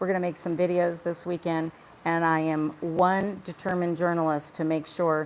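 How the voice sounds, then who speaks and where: Here is an ordinary speaking voice from a woman, fairly low in pitch. She keeps a moderate pace and fairly even intonation. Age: 60s. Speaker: independent journalist. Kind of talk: live stream chat. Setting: outdoors.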